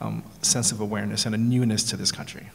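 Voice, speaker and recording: An American-accented man amid noticeable background noise and audible room echo. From New York City. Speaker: panelist. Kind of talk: panel discussion.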